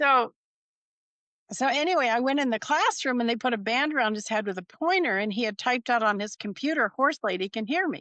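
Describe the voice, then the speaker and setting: A woman speaks at a fairly quick pace in a high voice with a bright, sharp tone and lively intonation. The sound is dry and close with no echo, over a quiet background. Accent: American. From Nevada, US West. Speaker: animal communicator. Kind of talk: interview storytelling. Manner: casual, anecdotal.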